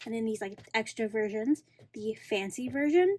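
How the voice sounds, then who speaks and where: A woman's fairly high, somewhat breathy voice. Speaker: K-pop album collector and video creator. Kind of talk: casual tutorial. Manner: slower in parts.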